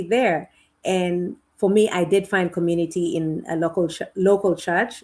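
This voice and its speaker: In a very clean recording with a silent background, a woman with a Kenyan accent speaks at a moderate pace. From Kenya and Uganda. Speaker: educator. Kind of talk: podcast interview. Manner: halting, with frequent repetitions.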